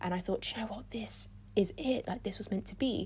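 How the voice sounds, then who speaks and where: Recorded very cleanly against a silent background, the speaker has a London accent and a somewhat breathy voice. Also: woman. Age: 20s. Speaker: podcast host, student. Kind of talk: solo podcast monologue.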